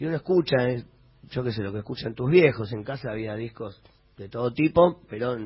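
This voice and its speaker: This man's voice is somewhat breathy, and his intonation is lively. He speaks at a moderate pace. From Buenos Aires, Argentina. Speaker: rock musician. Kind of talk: radio interview.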